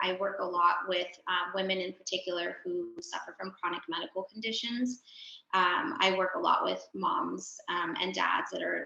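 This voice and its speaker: In a plain, everyday voice, a woman with an American accent talks at a fairly slow pace and a medium pitch with ordinary pitch variation. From US, San Diego California. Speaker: clinical psychologist. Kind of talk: panel talk.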